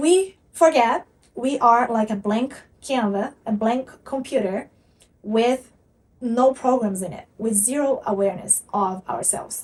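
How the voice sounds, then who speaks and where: In a Portuguese accent, a woman speaks with big swings in loudness and ordinary pitch variation. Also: fairly high pitch for a woman, fairly slow pace. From Brazil. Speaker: spiritual content creator. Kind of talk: motivational talk to camera.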